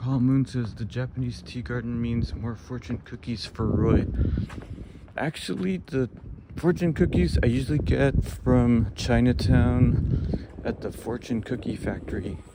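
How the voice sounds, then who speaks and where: Soft-spoken and fairly slow, a man with medium pitch and lively intonation talks over noticeable background noise. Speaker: walking tour live streamer. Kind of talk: casual live stream chat. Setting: outdoors.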